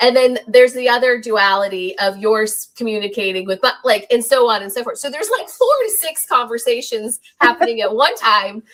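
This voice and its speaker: A woman's high-pitched voice at a fairly quick pace, with big swings in loudness. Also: ordinary pitch variation, hardly any pauses. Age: 40s. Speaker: podcast host. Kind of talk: casual chat.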